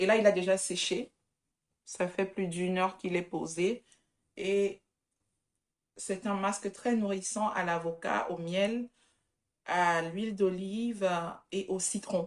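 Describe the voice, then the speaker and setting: The speaker has a non-native accent and fairly even intonation, with long, frequent pauses at a very slow pace. The recording is very clean, with a silent background. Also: woman, medium pitch for a woman. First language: not French (speaking French). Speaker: vlogger. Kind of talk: casual vlog. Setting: outdoor market.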